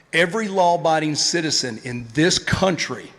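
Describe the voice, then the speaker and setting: A man is speaking. He talks with a Tennessee accent. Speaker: retired police officer, event speaker. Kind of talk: conference speech.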